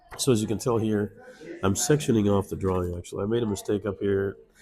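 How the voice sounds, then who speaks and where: Music plays in the background as a man talks very fast at a fairly low pitch. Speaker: comic book inker. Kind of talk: tutorial. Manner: casual, hesitant with fillers.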